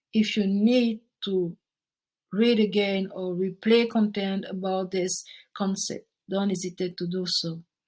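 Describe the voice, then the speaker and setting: A woman speaks in a French accent at medium pitch and a fairly slow pace. Her voice is somewhat breathy and her intonation is monotone and flat. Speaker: project management tutor. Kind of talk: tutorial.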